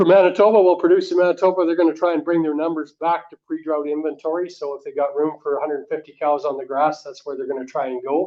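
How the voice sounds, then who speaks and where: Hardly pausing at all, a man with a Canadian Prairie accent talks at a very fast pace with a fairly high pitch, fairly even intonation and big swings in loudness. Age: 60s. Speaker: livestock marketer. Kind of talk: lecture. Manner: conversational, frequent fillers.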